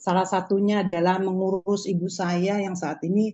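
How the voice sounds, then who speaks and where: A woman speaking at a moderate pace. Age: 60s. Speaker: customer giving testimony. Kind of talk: testimony.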